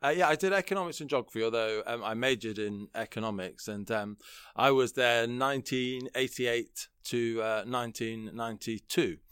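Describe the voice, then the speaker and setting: A man with a British accent talks with hardly any pauses. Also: medium pitch for a man, ordinary pitch variation, moderate pace. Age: 40s. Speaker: political columnist and commentator. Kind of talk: interview, political discussion.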